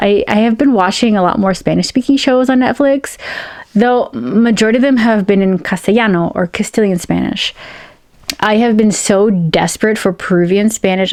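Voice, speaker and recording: A woman speaks very fast at a medium pitch with ordinary pitch variation, over noticeable background noise. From United States, Peruvian-American family. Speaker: science fiction and fantasy author. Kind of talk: casual talk to camera.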